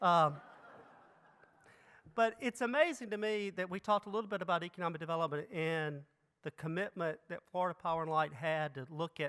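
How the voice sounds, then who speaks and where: A man with a Mississippi accent, high pitch, bright, sharp tone and moderate pace. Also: very clean recording, silent background. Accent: Mississippi Southern. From Mississippi, US South. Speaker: economic development executive, keynote speaker. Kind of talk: keynote speech. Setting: conference stage with audience.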